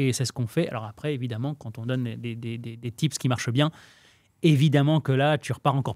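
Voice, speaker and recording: A man's very fast, medium-pitched speech with fairly even intonation, a dry sound with no echo, and a quiet background. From Lebanese family, raised in France. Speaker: real estate trainer. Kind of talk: casual interview chat. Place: studio. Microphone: studio mic.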